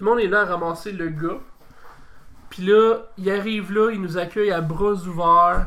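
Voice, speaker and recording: Raising and projecting his high-pitched voice, a man speaks fairly slowly with fairly even intonation and long, frequent pauses. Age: 30s. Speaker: wrestling federation president. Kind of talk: casual interview.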